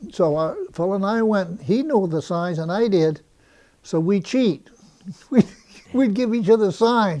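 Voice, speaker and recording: Speaking fairly slowly with an American accent, a man uses a high pitch, a dark, mellow tone and lively intonation. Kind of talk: oral history interview answer.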